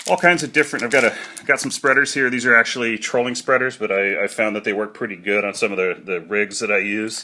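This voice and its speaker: A man talks at a very fast pace with ordinary pitch variation amid noticeable background noise. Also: medium pitch for a man, hardly any pauses. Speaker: fishing hobbyist video maker. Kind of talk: tutorial. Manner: casual, hesitant with many fillers.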